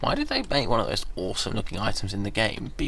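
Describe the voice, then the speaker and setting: Talking at a very fast pace, a man is heard with audible room echo. There is noticeable background noise as well. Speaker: esports commentator. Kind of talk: live commentary. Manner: drowsy, yawning.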